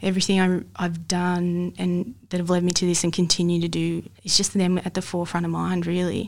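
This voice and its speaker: A woman's fairly low, monotone voice with flat intonation, an Australian accent and a fairly quick pace. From Australia, Mildura, Victoria. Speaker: football coach. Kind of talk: casual interview conversation. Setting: studio, in person.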